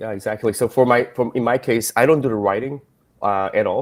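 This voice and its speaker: With a non-native accent, a man talks at a fairly quick pace, at medium pitch, with fairly even intonation. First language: not English. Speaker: web developer. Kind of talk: live stream panel discussion.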